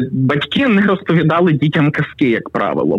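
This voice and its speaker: With a plain, everyday voice, a man speaks at a fairly high pitch and uses lively intonation. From western Ukraine, Pokuttia. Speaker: writer and youtuber. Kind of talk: storytelling; casual interview. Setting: phone call.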